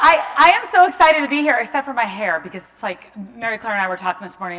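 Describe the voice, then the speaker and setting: A woman with an American accent uses a raised, projected voice at a high pitch with very wide pitch swings. There is noticeable background noise and audible room echo. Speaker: event host, journalist and menopause advocate. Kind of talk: live event welcome. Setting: stage with audience.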